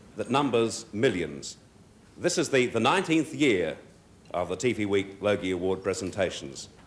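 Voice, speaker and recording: Noticeable background noise sits behind a man's voice. He speaks at a moderate pace with very wide pitch swings. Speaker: TV host. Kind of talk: awards show opening monologue. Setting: live ballroom audience.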